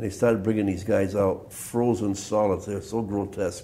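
A dark, mellow tone with very wide pitch swings at a moderate pace, plus audible room echo. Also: man.

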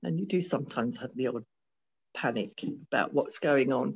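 A woman is speaking. Her intonation is lively. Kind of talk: interview answer. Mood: warm, occasionally laughing. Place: home room. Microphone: video call.

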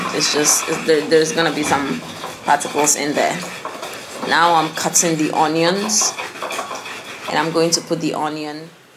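A woman with a very deep, low pitch speaks at a moderate pace with fairly even intonation and long, frequent pauses. Background noise is noticeable. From Ghana. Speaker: cooking vlogger. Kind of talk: cooking tutorial narration. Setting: outdoors cooking on charcoal fire. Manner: casual, with fillers and restarts. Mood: relaxed, explanatory. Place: home room. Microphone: camera far.

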